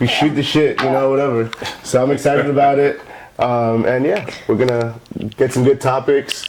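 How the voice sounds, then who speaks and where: Moderate pace and fairly even intonation in an American accent, with very even loudness and noticeable background noise. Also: man, medium pitch for a man. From Dominican, grew up in the US. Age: 30s. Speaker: actor and podcast co-host. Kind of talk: casual chat.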